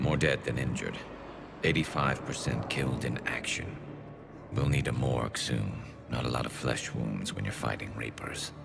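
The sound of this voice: A man puts on a character voice with an extremely low pitch and vocal fry, speaking at a moderate pace with fairly even intonation over clear music in the background.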